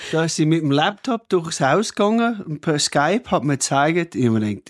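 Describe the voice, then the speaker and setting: Recorded very cleanly with a silent background and a dry, close sound free of echo, a man speaks at a high pitch with lively intonation. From rural Australia (Cooma). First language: English (speaking German). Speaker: hotel owner. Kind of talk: casual chat.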